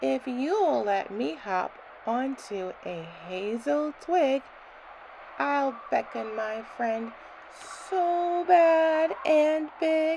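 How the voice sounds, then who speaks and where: A woman's high-pitched, put-on character voice at a very slow pace, with very wide pitch swings and clear background noise. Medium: read story. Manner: sly, persuasive.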